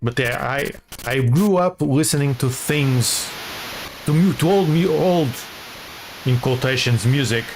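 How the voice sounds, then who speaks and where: Over noticeable background noise, a man with a non-native accent speaks at a fairly slow pace with very even loudness, ordinary pitch variation and long, frequent pauses. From small non-English-speaking country. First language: not English. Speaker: gaming streamer. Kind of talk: casual gameplay commentary. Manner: halting, frequent repetitions.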